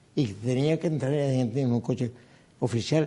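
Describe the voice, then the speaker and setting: A man with a Canarian accent, a dark, mellow tone and ordinary pitch variation. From Canary Islands. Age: 80s. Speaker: former politician. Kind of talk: interview.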